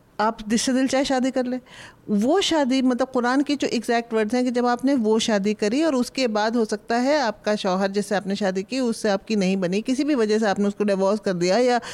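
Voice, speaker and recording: A woman's fairly high-pitched, unremarkable speaking voice, very even in loudness, with hardly any pauses. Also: ordinary pitch variation, moderate pace. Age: 60s. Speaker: historian and author. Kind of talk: panel discussion.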